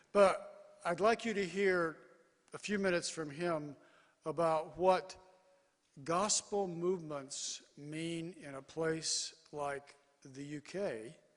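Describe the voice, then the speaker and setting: A very slow pace with long, frequent pauses, big swings in loudness, and ordinary pitch variation. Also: man, high pitch for a man. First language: English (speaking Korean). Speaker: mission organization leader. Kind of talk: conference keynote speech. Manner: short phrases, pausing for interpreter.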